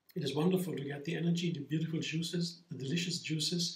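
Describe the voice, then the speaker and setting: This man talks at a fairly quick pace with a high pitch and ordinary pitch variation. Audible room echo surrounds his voice. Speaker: home juicing vlogger. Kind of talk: casual vlog chat. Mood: calm, enthusiastic. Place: kitchen. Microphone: camera far.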